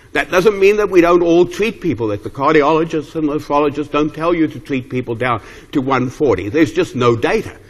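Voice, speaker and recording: A man speaks at a fairly quick pace with lively intonation. The background is quiet. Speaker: geriatrics professor. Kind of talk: lecture. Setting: stage with audience. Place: hall.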